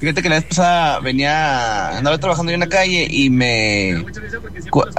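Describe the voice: A man speaks with a fairly high pitch and lively intonation. His pace is moderate.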